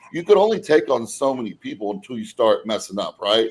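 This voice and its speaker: The man talks at a fairly quick pace. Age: 40s. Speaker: bodybuilding podcast host. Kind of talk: casual chat.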